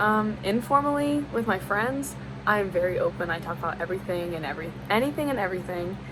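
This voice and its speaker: Fairly quick speech in an American accent, with audible room echo. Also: woman. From US South. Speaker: college student. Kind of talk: class assignment video monologue. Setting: at a desk on camera. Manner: casual, frequent fillers.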